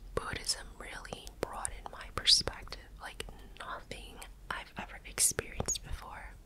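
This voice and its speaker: Whispering at a fairly slow pace, a woman keeps a calm, relaxed tone with big swings in loudness. Noticeable background noise runs behind her. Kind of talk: personal story told casually to the listener. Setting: close-mic home studio ASMR recording. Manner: soft, calm, relaxed.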